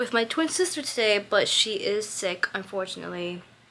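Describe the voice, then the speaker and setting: With noticeable background noise, a woman speaks at a fairly high pitch and a fairly quick pace. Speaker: lifestyle vlogger. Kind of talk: casual chat. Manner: fast; chatty, many fillers.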